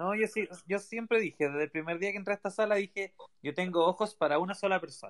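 At a very fast pace, a man talks in a high pitch with ordinary variation, recorded with a dry, close sound and no echo. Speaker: podcast co-host. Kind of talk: casual chat. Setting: Twitter Spaces audio room.

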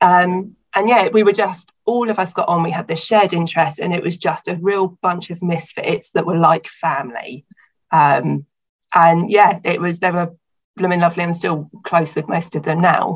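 A woman with a southern English accent speaks at a moderate pace with a fairly low pitch. Her voice is somewhat breathy, with fairly even intonation. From southern England, Hampshire. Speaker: small business owner. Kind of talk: casual interview.

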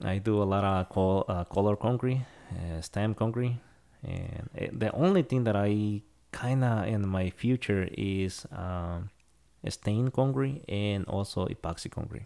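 Speaking with a Spanish accent, a man uses a fairly low pitch, a dark, mellow tone and ordinary pitch variation at a fairly slow pace, on a very clean recording with a silent background. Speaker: concrete crew scheduler. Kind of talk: casual interview. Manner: halting.

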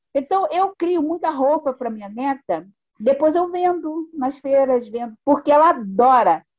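A woman with a high pitch speaks fairly slowly, her intonation lively. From Brazilian Northeast, Pernambuco; Rio de Janeiro from age eight. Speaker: artisan and psychologist. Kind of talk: interview, storytelling.

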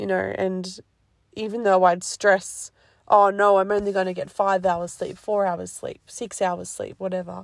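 Against a very clean recording with a silent background, a woman talks at a fairly slow pace with an Australian accent. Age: 20s. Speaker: podcast host. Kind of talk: casual solo talk.

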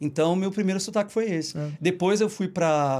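On a very clean recording with a silent background, a man with a plain, everyday voice speaks at a moderate pace with ordinary pitch variation. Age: 30s. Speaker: journalist and tour guide. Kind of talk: casual chat. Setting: live stream, Brooklyn.

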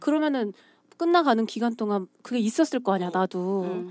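Very wide pitch swings run all through this woman's speech. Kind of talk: casual chat. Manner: trying to speak in a prettier tone.

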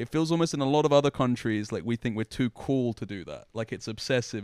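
Someone with a London accent talks at a fairly quick pace with hardly any pauses and ordinary pitch variation. The recording is very clean and dry, close with no echo, over a silent background. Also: man. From London, Hackney. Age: 20s. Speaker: esports interviewer. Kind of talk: casual chat. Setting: hotel room.

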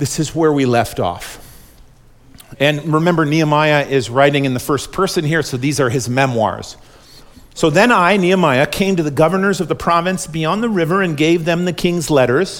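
This man's voice is fairly high in pitch. It varies in an ordinary way. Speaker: pastor. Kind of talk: sermon. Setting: church. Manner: fast when excited.

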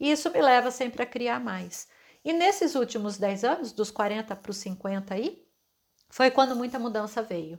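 Here is a woman with an ordinary speaking voice, fairly high in pitch, and lively intonation. She talks at a fairly slow pace on a very clean recording with a silent background. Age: 40s. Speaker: podcast host, holistic therapist. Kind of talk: reflective monologue.

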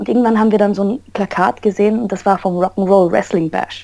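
A woman's dark, mellow tone at a medium pitch, fairly quick pace and ordinary pitch variation. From Austria, Vienna. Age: 20s. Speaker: professional wrestler. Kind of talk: interview.

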